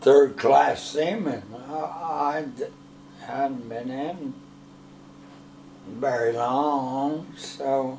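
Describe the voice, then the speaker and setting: A man's fairly high voice at a very slow pace, with ordinary pitch variation, long, frequent pauses and noticeable background noise. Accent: American. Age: 80s+. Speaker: Navy veteran. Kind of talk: interview answer.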